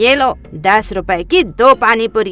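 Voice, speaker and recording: A cartoonish character voice from a woman, fairly high in pitch, at a moderate pace with lively intonation, music in the background. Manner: brusque, dismissive.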